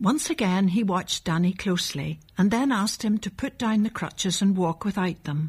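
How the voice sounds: A natural reading voice with ordinary pitch variation.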